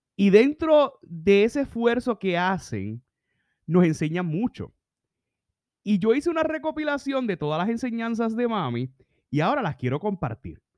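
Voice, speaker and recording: Recorded dry and close with no echo against a quiet background, a man with a Puerto Rican accent speaks at a moderate pace in a high pitch, his animated tone marked by very wide pitch swings. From Puerto Rico. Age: 30s. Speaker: leadership podcaster. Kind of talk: solo podcast reflection.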